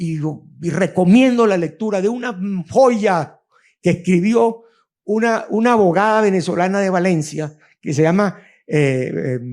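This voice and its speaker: The speaker moves at a fairly slow pace with lively intonation. The recording is very clean, with a silent background. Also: man. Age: 70s. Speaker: arbitration lawyer, panelist. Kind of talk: panel discussion.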